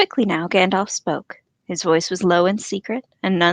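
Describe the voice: Someone does plain reading aloud. Nothing disturbs the quiet background.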